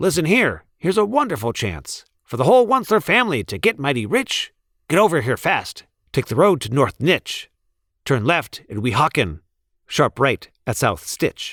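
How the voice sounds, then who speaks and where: Putting on a character voice, a man speaks at a moderate pace in a fairly high pitch, with very wide pitch swings. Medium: read story.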